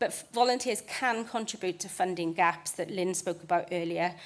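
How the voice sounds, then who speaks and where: Speaking at a fairly quick pace with a British accent, the voice comes through on a very clean recording with a silent background. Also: woman. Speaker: conservation charity volunteering manager. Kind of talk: conference presentation. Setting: stage with audience. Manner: fast.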